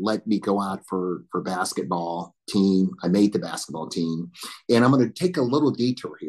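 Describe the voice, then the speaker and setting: A man with an Alabama accent speaks at a moderate pace, his pitch swinging very widely. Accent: Southern US (Alabama). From US South, northern Alabama. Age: 60s. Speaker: military veteran and corporate board director. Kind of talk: panel interview, personal life story.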